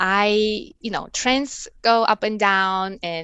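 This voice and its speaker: A woman with a Russian accent and a medium pitch. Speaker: embroidery artist and online seller. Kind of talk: interview. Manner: halting, many fillers.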